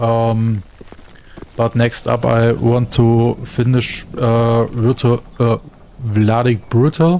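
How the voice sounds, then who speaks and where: Very slow and medium-pitched, a man with a German accent speaks in a dark, mellow tone with very even loudness and fairly even intonation. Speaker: gaming streamer. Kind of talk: casual chat. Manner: halting.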